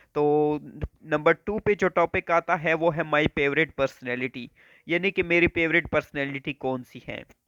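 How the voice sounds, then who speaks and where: Music plays behind a man with a fairly high pitch, and the sound is dry and close with no echo. He keeps a moderate pace and fairly even intonation. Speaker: YouTube educator. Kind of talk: tutorial.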